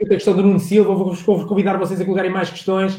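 At a fairly quick pace, a man speaks at a high pitch with a dark, mellow tone. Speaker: sales livestream host. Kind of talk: live interview stream. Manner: animated.

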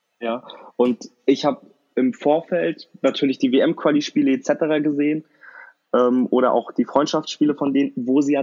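With a normal speaking voice, a man talks at a moderate pace in a fairly high pitch, his pitch varying in an ordinary way. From northern Germany, Kiel. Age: 20s. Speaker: football fan podcast guest. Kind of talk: casual chat.

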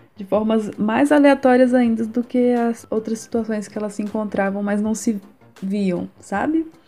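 With music in the background, a woman at a fairly high pitch talks at a fairly slow pace with ordinary pitch variation. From Brazil, Minas Gerais (Juiz de Fora). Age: 20s. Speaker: illustrator and art student. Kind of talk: interview. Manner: halting.

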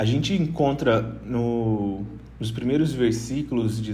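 Speaking at a fairly slow pace, a man with medium pitch and fairly even intonation is heard with audible room echo. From Brazil, Rondônia. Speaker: missionary and Bible study facilitator. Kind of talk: Bible teaching in casual podcast chat. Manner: hesitant, many filler sounds.

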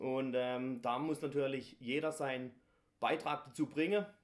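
A man has an ordinary speaking voice with a fairly high pitch and ordinary pitch variation. His pace is moderate. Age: 30s. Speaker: carnival guild leader. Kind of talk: interview.

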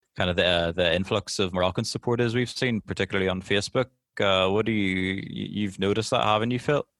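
A man with a Northern Irish accent talks at a very fast pace in a fairly low voice, his loudness very even. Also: ordinary pitch variation. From Northern Ireland. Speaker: football podcast host. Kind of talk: casual chat.

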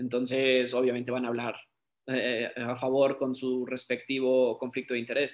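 At a fairly slow pace, a man with a medium pitch speaks in a plain, everyday voice. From Mexico. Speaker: sports physiotherapist. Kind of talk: online talk / presentation.

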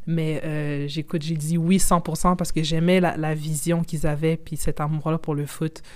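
At a fairly slow pace, a woman speaks with a very deep, low pitch, monotone, flat intonation, and hardly any pauses. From Quebec. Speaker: football journalist and content creator. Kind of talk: casual interview.

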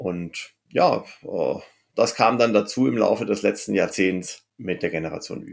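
A man's fairly slow speech with big swings in loudness. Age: 50s. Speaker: cooperative founder, former state secretary. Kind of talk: interview.

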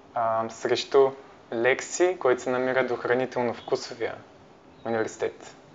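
A man speaks very slowly at medium pitch. His intonation stays fairly even. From Bulgaria, Parvomay (Plovdiv region). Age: 20s. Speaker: university student, volunteer. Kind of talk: interview. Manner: halting.

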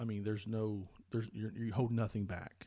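Medium-pitched male speech, very clean, over a completely silent background. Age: 40s. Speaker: pastor. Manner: halting, many fillers.

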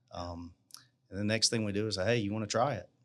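A man speaks in a South Carolina accent. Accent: Southern US (South Carolina). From South Carolina, US South. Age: 40s. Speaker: small business owner. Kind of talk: interview.

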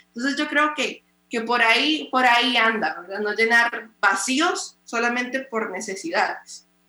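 The speech moves at a fairly slow pace. There are hardly any pauses. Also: woman, high pitch for a woman, lively intonation. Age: 20s. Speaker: pastor and radio host. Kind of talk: casual interview.

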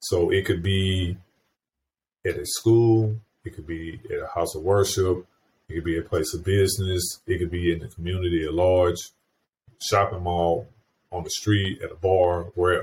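Speaking at a moderate pace with long, frequent pauses, a man uses a very deep, low pitch, a somewhat breathy sound and fairly even intonation. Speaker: podcast host. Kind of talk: interview, conversational.

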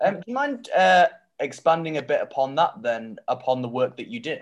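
A man speaks with a Mancunian accent. His pace is fairly quick. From Manchester, northern England. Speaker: podcast host. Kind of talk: casual interview.

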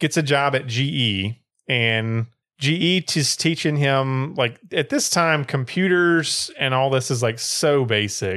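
The pitch varies in an ordinary way, and the delivery is fairly slow, in an unremarkable speaking voice. Nothing is heard in the silent background of this very clean recording. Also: man. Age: 30s. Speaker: podcast co-host. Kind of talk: casual chat.

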